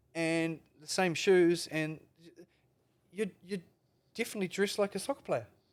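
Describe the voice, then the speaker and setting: With a New Zealand accent, a man speaks at a high pitch with ordinary pitch variation and long, frequent pauses. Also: moderate pace. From New Zealand, Palmerston North. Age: 50s. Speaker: veteran skateboarder. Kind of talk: casual chat. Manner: animated.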